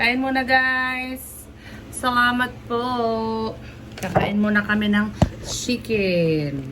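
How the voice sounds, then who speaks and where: Over noticeable background noise and audible room echo, the speech moves at a very slow pace with ordinary pitch variation. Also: woman, fairly high pitch for a woman. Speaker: vlogger. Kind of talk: casual vlog chat. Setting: hospital room.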